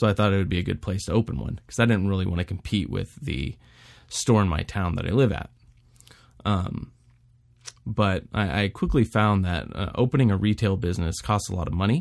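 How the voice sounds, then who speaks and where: Speaking with an American accent at a fairly quick pace, a man has a normal speaking voice, a fairly low pitch and ordinary pitch variation. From Texas, Houston. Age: 30s. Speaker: podcast host, former Marine, aspiring developer. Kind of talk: solo podcast monologue. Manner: casual with filler words.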